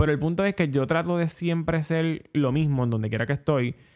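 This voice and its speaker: With a Puerto Rican accent, a man speaks at a moderate pace with fairly even intonation. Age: 20s. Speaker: podcast host. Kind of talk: solo monologue podcast.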